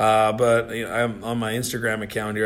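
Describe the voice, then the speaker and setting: This man has a normal speaking voice at medium pitch. He speaks with a Canadian accent. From Canada. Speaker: retired hockey enforcer. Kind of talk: casual interview. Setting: office.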